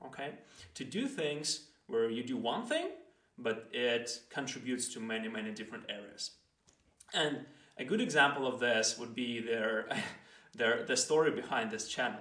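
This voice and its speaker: Speaking at a moderate pace with a non-native accent, a man keeps a medium pitch and fairly even intonation, with long, frequent pauses. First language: not English. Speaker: podcast host. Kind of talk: solo explainer monologue. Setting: solo recording with microphone. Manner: halting, with fillers and restarts.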